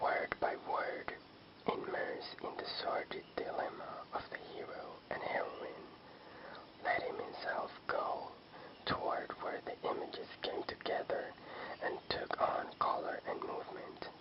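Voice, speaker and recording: A man whispers fairly slowly while noticeable background noise carries through. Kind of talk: short story reading. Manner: whispered.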